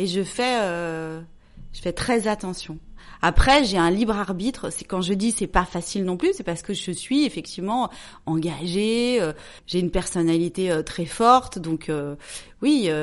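A woman's unremarkable speaking voice at medium pitch, fairly slow, over a quiet background. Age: 40s. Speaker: journalist and entrepreneur. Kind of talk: casual chat.

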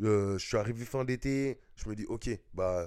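Captured in a very clean recording with a silent background, a man speaks in a fairly low pitch. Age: 20s. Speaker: hip-hop dancer. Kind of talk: casual interview. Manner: hesitant, many fillers.

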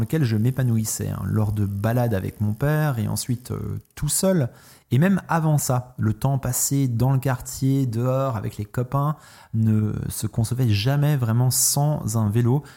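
At a very slow pace, a man speaks with a dark, mellow tone at medium pitch and ordinary pitch variation, on a very clean recording with a silent background. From France. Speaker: cycling podcaster. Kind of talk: solo monologue podcast.

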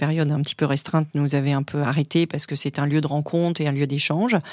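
A woman speaks at a very fast pace. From born and raised in Africa, also European culture. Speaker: corporate lawyer. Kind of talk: interview. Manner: hesitant fillers.

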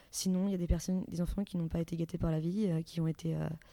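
A woman speaks in a flat monotone, her fairly low voice carrying a dark, mellow tone. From France, Yvelines. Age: 20s. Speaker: aid volunteer. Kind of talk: interview. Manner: halting.

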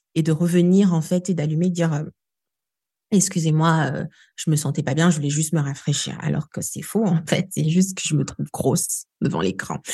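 With a dark, mellow, somewhat breathy tone, a woman speaks at a moderate pace in a very deep, low voice with fairly even intonation. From DR Congo, Kinshasa. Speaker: storytelling coach. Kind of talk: interview.

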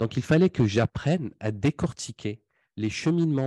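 At a fairly slow pace, a man speaks with ordinary pitch variation in a dry, close sound that has no echo. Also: quiet background. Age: 20s. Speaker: sales closing coach and entrepreneur. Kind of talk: podcast interview. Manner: hesitant, many fillers and repetitions.

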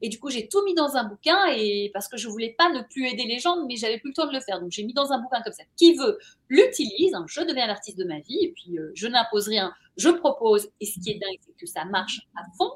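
Her voice is high-pitched and animated, a woman speaking at a fairly quick pace with very wide pitch swings and big swings in loudness. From Belgium, Brussels. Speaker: journalist and author. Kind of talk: interview.

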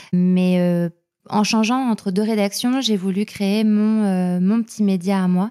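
A woman talks at a very slow pace with very even loudness. Her intonation stays fairly even. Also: medium pitch for a woman. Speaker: journalist and podcaster. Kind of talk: casual interview.

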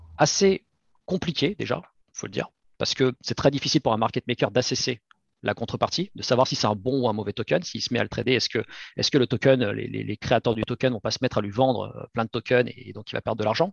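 A man with a medium pitch and vocal fry talks at a fairly quick pace, with ordinary pitch variation. He takes long, frequent pauses, and his loudness swings widely. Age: 30s. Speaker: crypto startup cofounder. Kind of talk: interview. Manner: halting, frequent repetitions.

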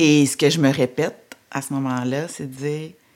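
A woman's very deep, low voice at a very slow pace, with fairly even intonation. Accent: Quebec. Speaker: entrepreneur. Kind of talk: testimony.

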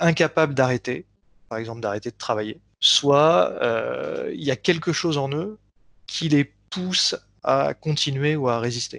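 The sound is dry and close, with no echo and a quiet background. Pitch variation is ordinary. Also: man. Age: 50s. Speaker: hypnotherapist. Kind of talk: interview. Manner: halting.

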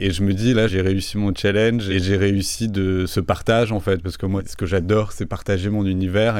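The man talks at a moderate pace, his fairly low voice monotone and flat. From Toulouse, southern France. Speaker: artist and designer. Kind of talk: interview.

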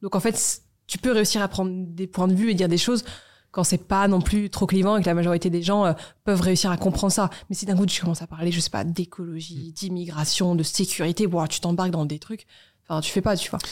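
A woman with an unremarkable speaking voice talks at a fairly quick pace, her medium pitch carried by fairly even intonation. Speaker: media founder. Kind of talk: casual interview.

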